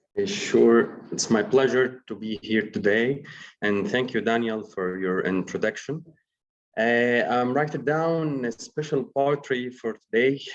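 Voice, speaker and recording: With an Arabic accent, a man speaks at a fairly slow pace with lively intonation over a quiet background. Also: medium pitch for a man. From Egypt, Alexandria. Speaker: poet. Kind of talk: panel presentation. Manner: halting.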